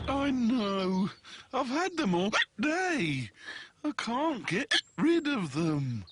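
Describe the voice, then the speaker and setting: In a cartoonish character voice, the speaker goes at a very slow pace with a fairly high pitch, very wide pitch swings and long, frequent pauses. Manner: polite, gentle.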